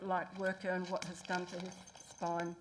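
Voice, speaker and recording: In a New Zealand accent, a woman speaks at a moderate pace with a medium pitch and monotone, flat intonation. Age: 60s. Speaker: public submitter. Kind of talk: public hearing submission. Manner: halting.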